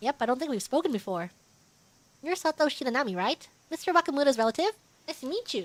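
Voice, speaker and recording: A woman performs a put-on character voice at a high pitch. She races at a very fast pace yet leaves long, frequent pauses. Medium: virtual streamer. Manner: casual, friendly.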